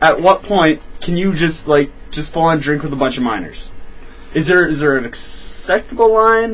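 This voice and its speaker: A man with a plain, everyday voice talks at a moderate pace and a fairly high pitch, his intonation lively. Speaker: guest on friends' show. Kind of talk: casual banter.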